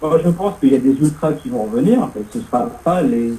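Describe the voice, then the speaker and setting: A fairly quick pace and very wide pitch swings, over noticeable background noise. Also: man. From Paris. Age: 40s. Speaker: radio host. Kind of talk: casual chat.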